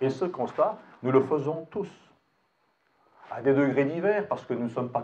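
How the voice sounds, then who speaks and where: Lively intonation from a man at medium pitch, moving at a moderate pace. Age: 60s. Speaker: retired general, political speaker. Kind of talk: public speech at a town meeting. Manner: halting, with many repeated words and fillers.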